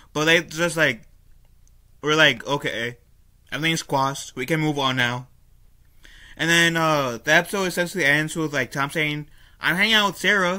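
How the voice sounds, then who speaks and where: The man's voice sits fairly high in pitch and has a bright, sharp tone. He talks at a moderate pace with ordinary pitch variation over a quiet background. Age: 20s. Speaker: YouTuber reviewing a cartoon. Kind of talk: solo video review. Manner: casual, frequent fillers and self-corrections. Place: home room. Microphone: webcam.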